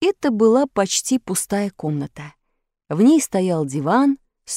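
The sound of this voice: The delivery is an unforced reading voice. Behind it, the background is quiet.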